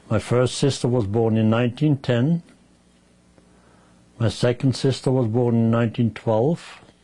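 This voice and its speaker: The speaker has a dark, mellow tone and fairly even intonation, moving at a fairly slow pace with long, frequent pauses and very even loudness. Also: man, medium pitch for a man. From Germany. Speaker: Holocaust survivor. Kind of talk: oral history interview.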